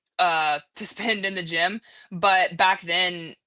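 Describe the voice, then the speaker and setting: With an American accent, a woman talks in a medium pitch and a bright, sharp tone against a quiet background. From North Carolina, US. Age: 20s. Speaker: CrossFit athlete, former weightlifter. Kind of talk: casual interview chat.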